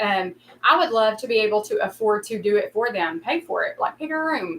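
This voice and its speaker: The speaker has an Appalachian accent. The intonation is lively. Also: woman. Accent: Appalachian Southern US. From Kentucky. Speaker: YouTuber. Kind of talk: casual chat. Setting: livestream.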